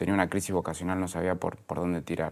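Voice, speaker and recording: A man with an Argentine accent, in a very clean recording with a silent background. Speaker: entrepreneur, media executive. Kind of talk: interview conversation. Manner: halting, many repetitions and fillers.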